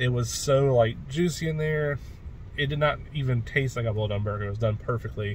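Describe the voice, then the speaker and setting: A man speaks with lively intonation and a somewhat breathy voice, recorded dry with no echo over light background noise. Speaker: travel vlogger. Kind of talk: casual vlog chat. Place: car. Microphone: phone near.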